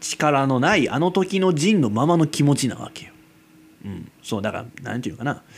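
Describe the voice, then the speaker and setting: This man speaks in a Kansai accent at a moderate pace, his pitch fairly high. His intonation is lively, with big swings in loudness. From Kansai, Japan. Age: 20s. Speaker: amateur radio-style podcaster. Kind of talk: solo casual monologue. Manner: rambling, filler-heavy, frequent laughs.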